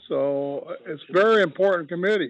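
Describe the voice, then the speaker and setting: The speaker is a man. His pitch is high. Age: 80s+. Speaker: advisory committee member. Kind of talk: public meeting discussion.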